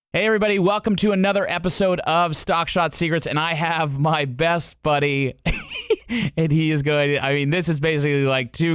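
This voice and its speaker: A man speaks in an unremarkable speaking voice. His pace is fairly quick, and his loudness stays very even. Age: 30s. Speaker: golf podcast host. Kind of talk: casual podcast interview.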